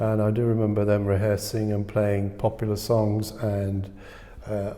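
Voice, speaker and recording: A man speaks at a moderate pace in a fairly low pitch, his tone dark and mellow. Room echo is audible. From England (North London, then Peak District). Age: 60s. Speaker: composer. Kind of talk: interview answers. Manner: hesitant, with fillers.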